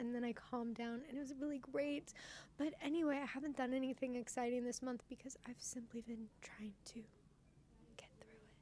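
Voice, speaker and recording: A woman's high-pitched, dark, mellow voice at a fairly quick pace, with ordinary pitch variation and big swings in loudness. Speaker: podcast co-host. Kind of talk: casual chat. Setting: inside a store.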